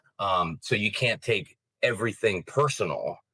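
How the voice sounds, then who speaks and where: The recording of the man is very clean, with total silence behind his voice. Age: 30s. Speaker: pro wrestler. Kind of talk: casual interview chat. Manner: halting, many fillers.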